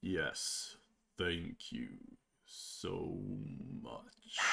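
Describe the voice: A loud, booming, growling put-on character voice from a man.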